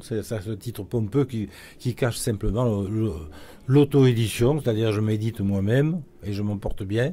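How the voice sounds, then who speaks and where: Speaking at a fairly slow pace, a man uses a fairly low pitch and a dark, mellow tone, somewhat breathy, with ordinary pitch variation. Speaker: cartoonist. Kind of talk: interview. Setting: live event. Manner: halting.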